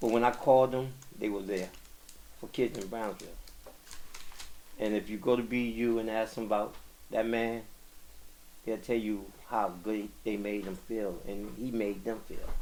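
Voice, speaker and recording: A man with an American accent, medium pitch and a dark, mellow tone, fairly even intonation, a moderate pace and long, frequent pauses. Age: 60s. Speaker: community activist. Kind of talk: podcast interview.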